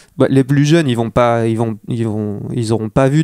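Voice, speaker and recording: On a very clean recording with a silent background and a dry, close sound with no echo, a man talks at a moderate pace in a medium pitch, with fairly even intonation and a dark, mellow tone. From northern France (Armentières, Nord). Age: young. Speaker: skater and illustrator. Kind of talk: casual interview chat. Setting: home recording.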